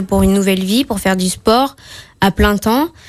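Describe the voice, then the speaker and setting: A woman of medium pitch is heard in a very clean recording with a silent background. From Martinique. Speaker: gymnast. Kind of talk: radio interview. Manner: hesitant.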